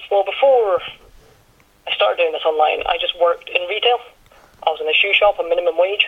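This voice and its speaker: In a Highland Scottish accent, the speech comes very fast but with long, frequent pauses and ordinary pitch variation, over noticeable background noise. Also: man, high pitch for a man. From Scottish Highlands. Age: 20s. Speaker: online business owner. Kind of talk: interview.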